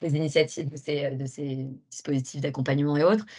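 A woman with a very deep, low pitch and a dark, mellow tone speaks with fairly even intonation against a quiet background. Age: 30s. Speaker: entrepreneur. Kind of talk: interview. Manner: halting.

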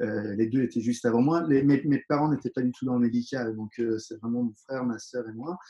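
Using a plain, everyday voice, a man talks at a fairly quick pace with a medium pitch and fairly even intonation. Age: 40s. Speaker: dentist and professional kickboxer. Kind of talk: interview.

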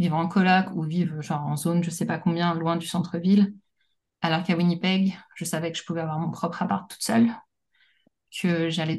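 A woman's somewhat breathy voice at a fairly low pitch, in a monotone, flat intonation at a fairly quick pace. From France, Paris. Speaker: teacher and policy analyst. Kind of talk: casual interview.

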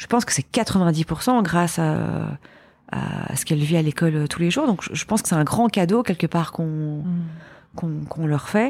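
Noticeable background noise sits behind a woman with a Belgian accent who speaks at a fairly low pitch and a fairly slow pace with ordinary pitch variation. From Belgium. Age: 40s. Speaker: entrepreneur. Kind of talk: casual chat.

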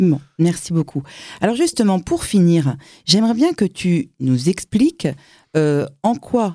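A woman's dark, mellow tone with very wide pitch swings at a very slow pace, dry and close with no echo. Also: very clean recording, silent background. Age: 50s. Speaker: podcast host. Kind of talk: interview.

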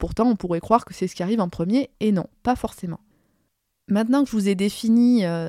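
Her voice is fairly high for a woman, with a dark, mellow tone and ordinary pitch variation. The sound is dry and close with no echo. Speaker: podcast host, addiction professional. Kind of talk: solo podcast monologue, partly scripted.

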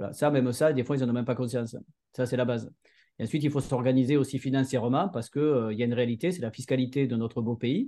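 A man speaks very fast at a medium pitch, with a dark, mellow tone and fairly even intonation. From southern France, Montpellier area. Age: 40s. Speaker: entrepreneur. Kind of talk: interview. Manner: hesitant, many fillers and repeated words.

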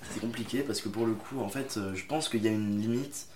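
A man's fairly level intonation comes through with audible echo from the room. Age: young. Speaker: aspiring actor. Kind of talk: casual chat. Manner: halting.

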